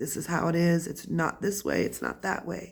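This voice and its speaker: Vocal fry runs through the voice. The pace is moderate. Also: woman. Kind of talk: casual talk to camera. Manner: ranting.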